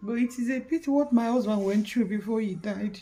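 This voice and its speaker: Her voice is fairly high, with a dark, mellow tone and a somewhat breathy quality. She speaks at a moderate pace with ordinary pitch variation. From Nigeria, Anambra State. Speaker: vlogger. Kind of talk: personal vlog. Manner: soft-spoken.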